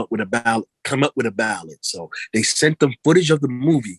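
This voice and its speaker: A man talks with a New York accent, recorded dry and close with no echo. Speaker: R&B singer. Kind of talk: interview. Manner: fast; halting, repeats words.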